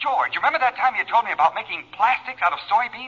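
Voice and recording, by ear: In a put-on character voice, a man talks fast with a bright, sharp tone, high pitch, lively intonation and a slightly husky edge.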